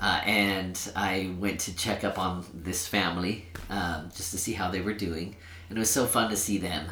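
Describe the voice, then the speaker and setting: The recording has audible room echo around a man with a very deep, low pitch. He talks at a moderate pace with fairly even intonation. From Sacramento, California. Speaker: nonprofit director. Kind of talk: podcast interview.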